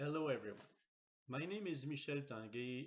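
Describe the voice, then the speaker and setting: The speaker is a man. He talks in a Quebec accent. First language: French. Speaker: logistics course facilitator. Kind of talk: reading aloud. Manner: halting.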